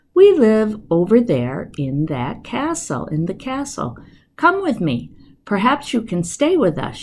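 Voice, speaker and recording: The speaker puts on a character voice and delivers it fairly slowly. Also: woman, fairly high pitch for a woman. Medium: read story.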